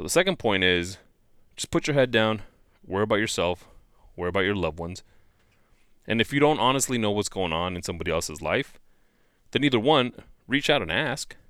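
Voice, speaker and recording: On a very clean recording with a silent background, a man talks very fast with lively intonation. His fairly low voice is broken up by long, frequent pauses. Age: 40s. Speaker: motivational vlogger. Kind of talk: motivational monologue. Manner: casual, with frequent fillers.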